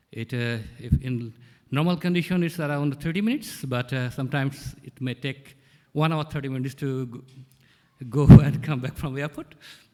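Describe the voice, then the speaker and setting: A man with a non-native accent speaks at a fairly quick pace and a fairly high pitch. His tone is dark and mellow, with ordinary pitch variation. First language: not English. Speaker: conference organizer. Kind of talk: conference presentation. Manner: fast.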